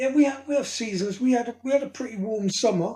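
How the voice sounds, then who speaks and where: A man speaks with a southern English accent, his tone dark and mellow and his pitch varying in an ordinary way. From south coast of England. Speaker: hot sauce reviewer. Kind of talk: casual interview.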